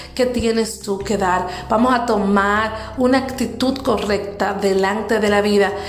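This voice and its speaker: Fairly slow, fairly high-pitched female speech amid audible room echo and noticeable background noise. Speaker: motivational podcast host. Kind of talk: motivational talk.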